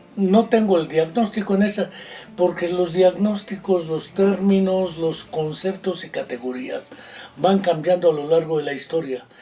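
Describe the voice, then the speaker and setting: Music plays in the background as a man talks at a high pitch. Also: ordinary pitch variation, fairly slow pace. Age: 60s. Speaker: psychologist and writer. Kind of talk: interview.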